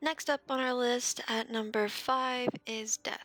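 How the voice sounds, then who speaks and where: Her tone bright and sharp, a woman is heard in a dry, close sound with no echo. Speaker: gaming video creator. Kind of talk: casual talk to camera.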